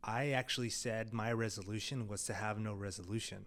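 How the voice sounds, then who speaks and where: Delivered at a fairly quick pace, the speech has a monotone, flat intonation and audible room echo. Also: man. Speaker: video production company founder. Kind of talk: casual vlog monologue.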